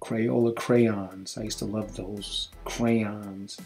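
A man with an American accent speaks while music plays in the background. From Brooklyn, New York City. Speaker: English teacher. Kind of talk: casual talk to camera. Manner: relaxed, chatty.

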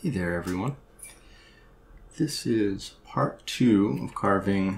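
Soft-spoken and somewhat breathy, a man with a fairly low voice talks at a fairly slow pace with lively intonation over light background noise. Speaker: woodcarver. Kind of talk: tutorial talk.

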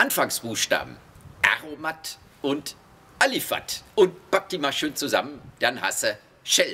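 There is light background noise. A man talks at a very slow pace. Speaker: tour guide. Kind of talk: guided tour explanation. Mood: humorous, chatty. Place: factory.

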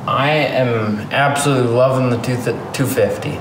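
Over noticeable background noise, a man talks at a very slow pace in a monotone, flat intonation. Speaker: dirt bike vlogger. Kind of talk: casual vlog chat. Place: garage. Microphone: phone near.

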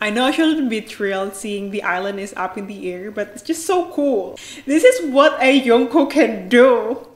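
A woman talks at a high pitch. Audible room echo surrounds her voice. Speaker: anime reaction creator. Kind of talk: reaction commentary.

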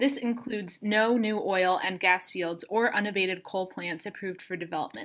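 A woman speaks at a moderate pace with a bright, sharp tone and ordinary pitch variation. The background is quiet. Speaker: public commenter for a climate group. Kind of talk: public comment statement. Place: home room. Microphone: webcam.

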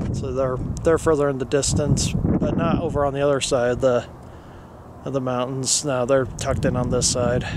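Medium-pitched male voice in an American accent, monotone and flat, dry with no echo but with loud background noise. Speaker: hiker filming the view. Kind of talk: casual talk to camera. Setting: outdoors. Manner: mumbling. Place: open country. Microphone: phone near.

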